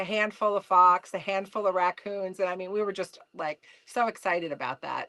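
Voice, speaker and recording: A woman with a New Jersey accent speaks at a medium pitch and moderate pace. Her tone is bright and sharp, the sound dry and close with no echo, and the recording very clean with a silent background. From New Jersey, US. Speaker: trapper, mother. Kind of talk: casual podcast interview.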